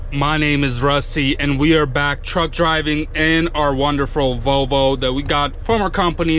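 The speech moves at a moderate pace with fairly even intonation, sounding dry with no echo over light background noise. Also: man. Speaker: truck driver vlogger. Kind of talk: casual vlog chat. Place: car. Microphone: camera far.

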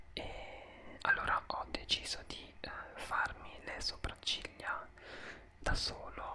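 Whispering from a male speaker. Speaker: vlogger. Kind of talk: casual vlog chat. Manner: soft close-mic ASMR murmur. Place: home room. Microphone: studio mic.

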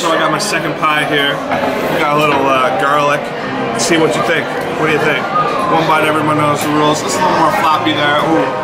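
The talking goes at a fairly quick pace. Behind it, music is clearly audible. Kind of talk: casual vlog chat. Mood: playful, joking. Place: bar. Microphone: phone near.

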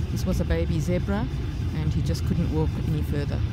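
A man's voice, dry and echo-free, with music in the background. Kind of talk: casual travel vlog narration. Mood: sober over drought. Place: open country. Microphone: phone near.

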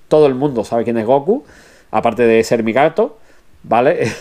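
At a moderate pace, a man speaks in a dark, mellow tone of medium pitch with ordinary pitch variation. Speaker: anime news streamer. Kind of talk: live stream chat. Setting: live stream. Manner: animated.

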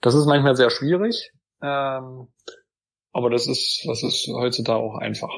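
A man speaks at a fairly slow pace with fairly even intonation, leaving long, frequent pauses. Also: medium pitch for a man. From Saxony-Anhalt, Germany (Gräfenhainichen). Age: 30s. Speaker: politician. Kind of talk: interview.

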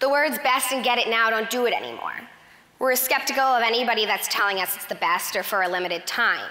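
The speaker talks at a very fast pace. Pitch variation is ordinary. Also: woman, fairly high pitch for a woman. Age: 20s. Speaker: marketing coordinator giving a talk. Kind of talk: prepared speech. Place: stage. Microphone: lapel.

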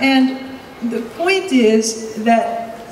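There is audible room echo and light background noise as a woman speaks at a fairly high pitch. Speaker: psychiatrist and urban researcher. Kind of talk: panel talk. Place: hall. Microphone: handheld.

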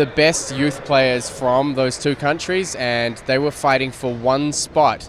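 A man talks at a moderate pace with fairly even intonation and a medium pitch. Faint background noise can be heard.

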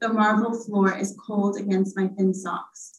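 With an American accent, a woman speaks in a somewhat breathy voice with monotone, flat intonation and audible room echo. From mixed upbringing: Tanzania, Italy, England, US. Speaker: author. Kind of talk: reading aloud then panel conversation. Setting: live event with audience, also on Zoom. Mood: calm, reflective. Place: hall. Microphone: podium.

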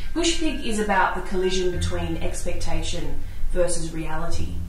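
With music in the background and audible room echo, a woman talks at a moderate pace. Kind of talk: interview answer. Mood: lively, animated. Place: home room.

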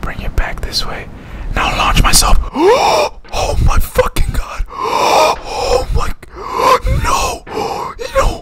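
Whispering from a man at a very slow pace, broken by long, frequent pauses. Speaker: gaming streamer. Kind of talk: casual gameplay commentary. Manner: profane, frustrated, rage-prone. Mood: frustrated, swearing, bursts of rage. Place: home room.

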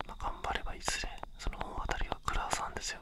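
A man is talking. He is whispering. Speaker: ASMR creator. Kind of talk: whispered ASMR talk. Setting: binaural dummy head mic. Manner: whispered. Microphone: studio mic.

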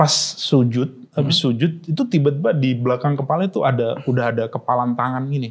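The man talks at a fairly quick pace, his pitch varying in an ordinary way. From Pati, Central Java, Indonesia; Central Java, Indonesia. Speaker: stand-up comedian. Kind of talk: casual interview chat. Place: studio.

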